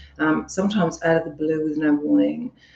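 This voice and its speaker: Very deep and low, a woman's dark, mellow voice moves at a fairly quick pace with ordinary pitch variation. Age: 50s. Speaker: relationship coach. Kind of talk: casual chat. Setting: live stream. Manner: chatty, animated.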